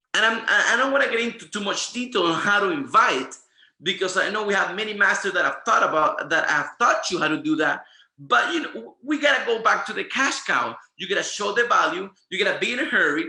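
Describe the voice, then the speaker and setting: Speaking at a fairly quick pace, a man with a Spanish accent uses a raised, projected voice that is high-pitched for a man, with lively intonation. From Venezuela. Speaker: network marketing presenter. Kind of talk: training presentation. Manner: animated.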